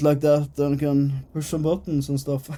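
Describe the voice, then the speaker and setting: A man talks at a moderate pace with a fairly high pitch. Noticeable background noise runs under his voice. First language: not English. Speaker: gaming streamer. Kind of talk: game let's play with reading aloud. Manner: casual, reading game text aloud.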